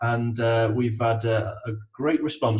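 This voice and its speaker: A man with an East Midlands accent speaks at a medium pitch. His voice is somewhat breathy, with monotone, flat intonation. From English East Midlands, between Nottingham and Derby. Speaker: IT business consultant. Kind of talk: interview. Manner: hesitant, many fillers and repetitions.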